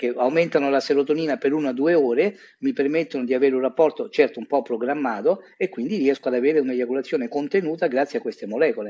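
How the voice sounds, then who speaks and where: Lively intonation marks a man's fairly high voice delivered at a very fast pace. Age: 50s. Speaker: urologist. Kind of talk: interview.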